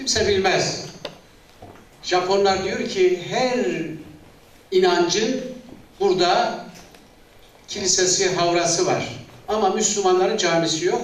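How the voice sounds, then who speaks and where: A man speaks very slowly in a high pitch with ordinary variation, leaving long, frequent pauses. Noticeable background noise and audible room echo fill the recording. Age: 60s. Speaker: retired director general, confederation president. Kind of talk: public speech.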